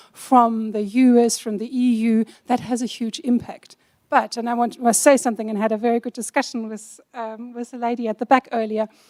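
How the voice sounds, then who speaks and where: A woman with a German accent talks at a fairly quick pace in a dark, mellow tone and flat, monotone intonation. The sound is dry and close, with no echo. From Germany. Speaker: compliance officer, panelist. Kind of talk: panel discussion.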